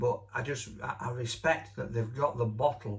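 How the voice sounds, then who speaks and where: Here a man with a Yorkshire accent talks at a moderate pace. His medium-pitched voice is somewhat breathy. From Yorkshire, Barnsley. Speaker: radio host. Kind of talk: casual chat. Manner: animated.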